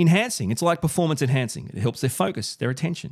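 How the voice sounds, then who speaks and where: In an Australian accent, a man talks at a fairly high pitch, with a dry, close sound and no echo. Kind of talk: solo video podcast monologue. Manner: animated.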